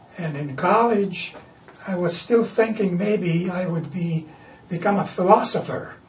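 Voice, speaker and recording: Speaking at a fairly slow pace in a high pitch with ordinary pitch variation, a man is heard with audible room echo and noticeable background noise. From Latvia. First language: Latvian. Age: 80s+. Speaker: artist. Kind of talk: interview. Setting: artist's studio.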